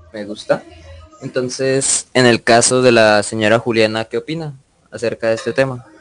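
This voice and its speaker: Over music in the background, a man speaks at a medium pitch with fairly even intonation. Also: moderate pace. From Colombia, Santander (Barichara). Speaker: student podcast host. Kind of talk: moderated panel discussion.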